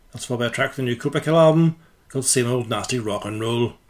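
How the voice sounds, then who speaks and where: A man talks at a very fast pace. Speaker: radio host. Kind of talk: radio DJ patter introducing tracks and release dates. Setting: radio studio. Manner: brisk, matter-of-fact, informative.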